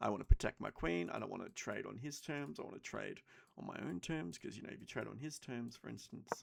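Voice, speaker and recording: A quiet man's voice at a fairly quick pace, with big swings in loudness. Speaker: chess streamer. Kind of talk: commentated chess game tutorial. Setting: home at night.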